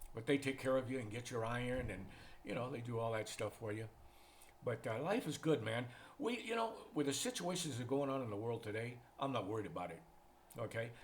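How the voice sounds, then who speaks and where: Somewhat breathy, a man talks at a fairly quick pace. He has an American accent and ordinary pitch variation. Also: medium pitch for a man. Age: 70s. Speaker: retired expat vlogger. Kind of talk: casual monologue vlog. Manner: relaxed, conversational.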